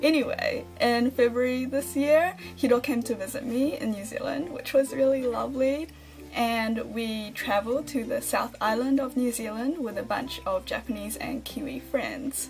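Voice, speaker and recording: A woman speaks with hardly any pauses while clear music plays in the background. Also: moderate pace. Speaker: vlogger. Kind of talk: casual vlog chat. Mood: cheerful, friendly. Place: home room. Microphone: phone near.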